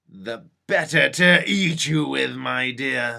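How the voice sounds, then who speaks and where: Putting on a growling character voice, a man of medium pitch speaks very slowly. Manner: snarling, menacing.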